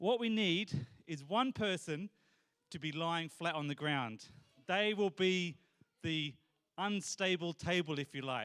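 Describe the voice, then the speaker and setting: A man with an Australian accent speaks at a high pitch and a very slow pace. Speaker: church family event game leader. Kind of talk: game instructions to live audience. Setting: church hall with live audience. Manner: animated.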